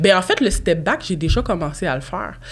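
This woman's voice sits at a medium pitch. She talks at a fairly quick pace. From Quebec. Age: 20s. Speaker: real estate broker and podcast host; podcast host. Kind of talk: casual chat. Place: studio. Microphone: studio mic.

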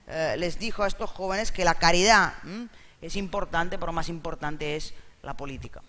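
Bright and sharp in tone, a man with a high-pitched voice speaks at a fairly quick pace. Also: ordinary pitch variation. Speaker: interpreter; interpreter at a panel. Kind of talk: live interpreting summary. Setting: stage with audience. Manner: halting. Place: hall.

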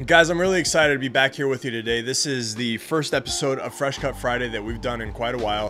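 A man talking at a very fast pace with ordinary pitch variation, over light background noise. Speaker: cigar channel host. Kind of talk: product overview chat. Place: home room.

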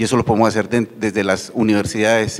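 Here a man speaks with a fairly low pitch. His pace is fairly quick. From Colombia. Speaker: university TV channel manager; panelist. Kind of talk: conference panel talk. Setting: university auditorium with audience. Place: hall. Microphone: handheld.

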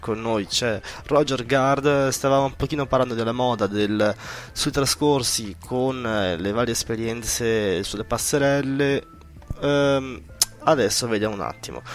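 A man at a fairly slow pace, medium in pitch, with ordinary pitch variation and few pauses.

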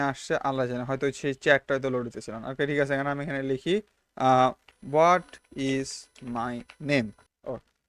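Over a quiet background, a man with a plain, everyday voice and a fairly high pitch is heard in a dry, close sound with no echo. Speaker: YouTuber. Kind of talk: casual vlog monologue. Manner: casual, mixes English words.

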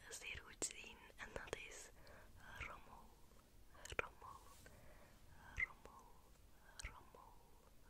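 A soft-spoken woman whispers at a very slow pace. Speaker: ASMR creator. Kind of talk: soft ASMR trigger-word talk. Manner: soft close-mic whisper. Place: home room. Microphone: studio mic.

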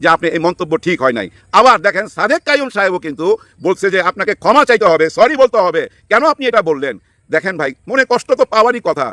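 Raising and projecting his high voice, a man speaks in a bright, sharp, animated tone with very wide pitch swings, the sound dry and close with no echo. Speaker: political commentator. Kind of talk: political commentary monologue. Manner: animated, colloquial.

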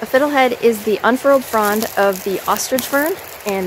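A woman talks at a fairly quick pace. The sound is dry with no echo, with noticeable background noise. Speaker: forager vlogger. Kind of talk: tutorial. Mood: relaxed, friendly. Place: forest. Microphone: phone near.

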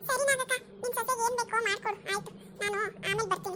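A woman puts on a cartoonish character voice at an extremely high pitch. She goes at a fairly quick pace over light background noise. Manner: colloquial village Kannada, soothing.

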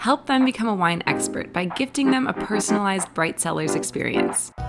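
Speaking at a fairly quick pace, a woman with an American accent is heard over clear music in the background. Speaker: voice actor. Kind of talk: TV commercial read. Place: studio.

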